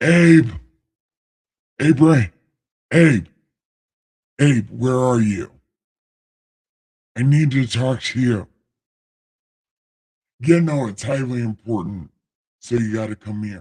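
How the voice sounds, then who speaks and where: Using a put-on character voice, a man speaks at a medium pitch. He goes at a fairly slow pace with long, frequent pauses. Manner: booming, commanding, comically insistent.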